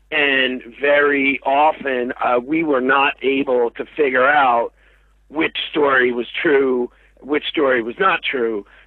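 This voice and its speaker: A man talks at a very slow pace with medium pitch and fairly even intonation. Noticeable background noise runs behind him. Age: 40s. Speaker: TV documentary creator and director. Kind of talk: interview. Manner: hesitant, many filler words.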